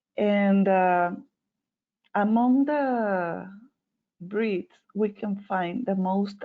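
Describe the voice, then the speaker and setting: A woman speaks with ordinary pitch variation. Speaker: veterinarian. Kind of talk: webinar presentation. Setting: online webinar. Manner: hesitant, many fillers.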